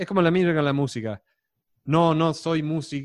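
Against a quiet background, a man speaks at a moderate pace with a fairly high pitch. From Texas. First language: English (speaking Spanish). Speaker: data scientist, former math teacher. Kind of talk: casual chat. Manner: halting, with many repeated words.

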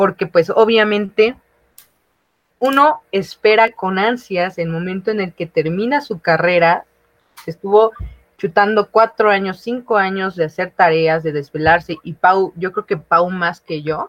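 A woman talks at a medium pitch and a fairly slow pace, with ordinary pitch variation. She has a normal speaking voice. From Mexico, outside Mexico City. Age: 20s. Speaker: recent university graduate. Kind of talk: casual chat.

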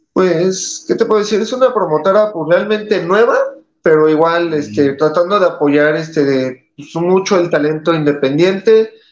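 His pitch is high, with ordinary variation. The man talks at a moderate pace. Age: 30s. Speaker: professional wrestler. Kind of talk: interview.

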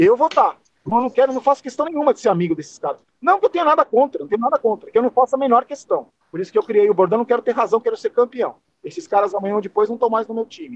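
A man at an extremely high pitch, talking at a very fast pace with lively intonation, in a dry, close sound with no echo. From Brazil, São Paulo. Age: 50s. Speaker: football YouTuber. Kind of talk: casual chat.

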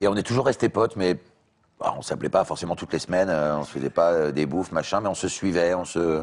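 Speaking at a fairly quick pace, a man uses a very deep, low pitch with ordinary pitch variation. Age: 40s. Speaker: voice actor. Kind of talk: casual chat.

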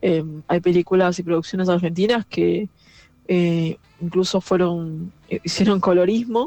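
A woman's dark, mellow tone at a fairly low pitch, in a flat monotone at a moderate pace. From Argentina, Buenos Aires area (San Isidro). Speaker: film director and audiovisual researcher. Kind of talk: pre-recorded audio message, interview answers.

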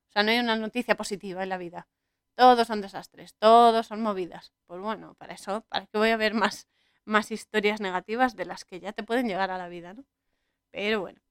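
In a very clean recording with a silent background and a dry, close sound with no echo, a woman with a plain, everyday voice and a fairly high pitch talks at a fairly quick pace with fairly even intonation and big swings in loudness. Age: 30s. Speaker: podcast host. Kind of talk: solo podcast monologue on film and spirituality.

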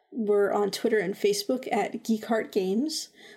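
A woman with a normal speaking voice, fairly high pitch, ordinary pitch variation and a fairly slow pace. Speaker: podcast host. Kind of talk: casual chat. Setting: video call.

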